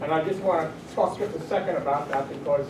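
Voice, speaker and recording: Fairly quick and fairly high-pitched, a man speaks. Audible room echo and noticeable background noise surround him. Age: 80s+. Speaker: war veteran and activist. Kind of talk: audience comment at community panel. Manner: halting.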